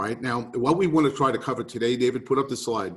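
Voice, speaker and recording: This man talks fairly quickly. He has a New York accent. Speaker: real estate market speaker. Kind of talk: webinar presentation. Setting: video call.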